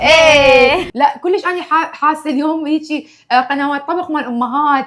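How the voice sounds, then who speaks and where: Her pitch high and her intonation fairly even, a woman speaks at a fairly slow pace. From Iraq, Baghdad. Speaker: cooking show host. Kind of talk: casual chat.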